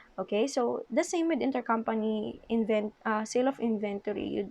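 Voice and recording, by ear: A woman talks at a fairly quick pace with a fairly high pitch. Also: ordinary pitch variation, slightly mellow tone.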